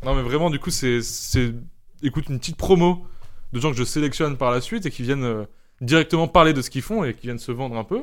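At a moderate pace, a man talks in a medium pitch that shows ordinary pitch variation. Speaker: podcast host. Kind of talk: casual chat. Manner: loud.

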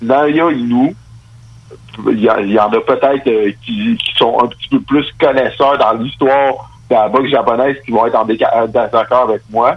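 An ordinary speaking voice moves at a fairly slow pace with ordinary pitch variation. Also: man, medium pitch for a man. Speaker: boxer. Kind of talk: interview.

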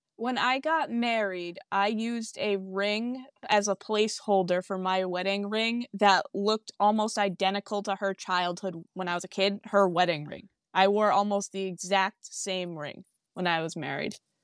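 A woman with an American accent has a plain, everyday voice at medium pitch with ordinary pitch variation. She speaks at a moderate pace on a very clean recording with a silent background. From Massachusetts, US. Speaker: grieving daughter receiving a reading. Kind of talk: emotional testimony in a medium reading.

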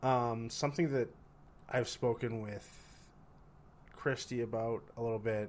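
A man with a Canadian accent talks at a medium pitch and a fairly slow pace. His intonation stays fairly even, broken by long, frequent pauses. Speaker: recent psychology graduate and podcast co-host. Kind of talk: casual chat.

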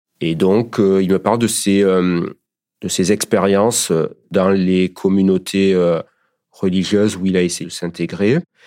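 Very deep and low, a man's voice moves at a fairly slow pace in a flat monotone, captured on a very clean recording with a silent background. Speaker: partner of guest. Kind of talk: testimony.

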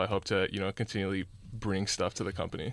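His intonation stays fairly even and his voice sits fairly low. The man speaks very fast. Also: very clean recording, silent background. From California, US. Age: young. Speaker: student entrepreneur. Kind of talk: interview.

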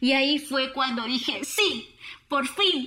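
A woman's voice over noticeable background noise. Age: 30s. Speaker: conference speaker. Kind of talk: public talk.

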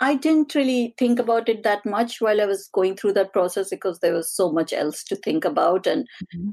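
With an ordinary speaking voice, a woman at a medium pitch talks at a fairly quick pace with lively intonation and hardly any pauses, the sound dry and close with no echo. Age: 40s. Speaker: behavioural and data scientist, author. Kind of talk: interview.

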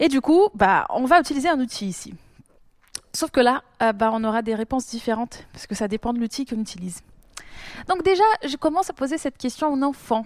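In a very clean recording with a silent background, a woman talks fairly quickly at a high pitch, with lively intonation. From Brazil. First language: Portuguese (speaking French). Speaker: doctoral student in probability. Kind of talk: casual chat. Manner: sing-song intonation.

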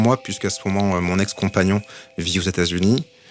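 Noticeable background noise runs behind a man's speech. His pitch is fairly low and his intonation fairly even. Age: 40s. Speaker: marketing executive and LGBT network co-founder. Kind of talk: testimony. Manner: hesitant, many fillers.

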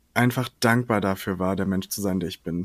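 A man with a normal speaking voice talks at a fairly low pitch with fairly even intonation, his sound dry and close with no echo on a very clean recording over a silent background. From western Germany, Ahrweiler area. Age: 20s. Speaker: drag queen and singer. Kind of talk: casual chat.

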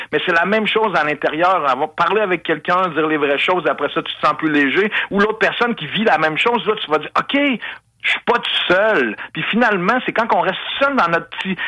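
With a Quebec accent, a man speaks very fast in a high, raised, projected voice with lively intonation. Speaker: radio columnist and former mayoral candidate. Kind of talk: testimony.

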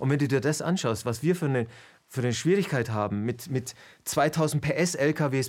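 A man speaks in an unremarkable speaking voice, pitched fairly high, with ordinary pitch variation. The recording is very clean, with a silent background. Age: 50s. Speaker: video interviewer and presenter. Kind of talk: interview conversation.

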